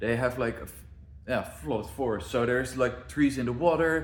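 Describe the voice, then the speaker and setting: Audible room echo follows a man's voice. His intonation is lively. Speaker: zoo planner and video creator. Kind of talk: casual walkthrough of zoo plans.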